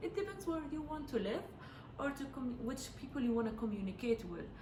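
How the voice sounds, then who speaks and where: A woman speaks with an Arabic accent over noticeable background noise. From Jordan. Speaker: Arabic teacher. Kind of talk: educational talk to camera.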